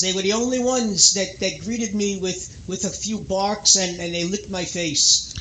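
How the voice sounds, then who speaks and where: A man's high voice at a moderate pace, fairly even in intonation, amid noticeable background noise. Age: 60s. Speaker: radio talk show host. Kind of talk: call-in radio chat.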